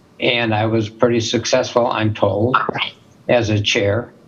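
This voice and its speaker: A man with an American accent, fairly low pitch, fairly even intonation and a moderate pace, over noticeable background noise. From US Midwest, Minneapolis, Minnesota. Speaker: spine surgeon and medical school dean. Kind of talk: interview. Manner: conversational, with fillers.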